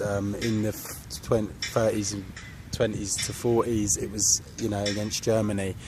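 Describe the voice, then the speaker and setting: An English accent over music in the background. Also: man. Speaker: vlogger. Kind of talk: casual vlog rant. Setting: outdoors in a park. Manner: monotone; hesitant, many fillers.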